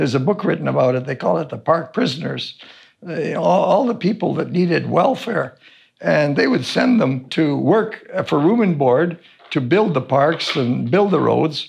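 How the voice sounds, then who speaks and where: Lively in intonation and fairly high in pitch, a man speaks at a moderate pace with vocal fry. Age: 70s. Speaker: wilderness survival instructor. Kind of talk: interview. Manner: halting.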